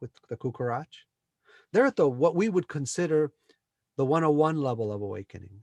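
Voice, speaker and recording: A man in a Spanish accent speaks with lively intonation and a fairly high pitch, the sound dry and close with no echo and the background quiet. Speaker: spiritual teacher, former software engineer. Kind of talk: interview about spirituality. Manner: animated.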